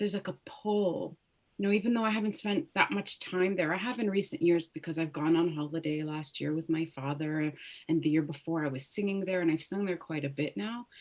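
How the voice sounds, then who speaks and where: With a Canadian accent, a woman speaks at a fairly quick pace in a fairly low pitch with ordinary pitch variation. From Ottawa, Canada (moved from Lebanon at six). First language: Arabic. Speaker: opera singer. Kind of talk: interview.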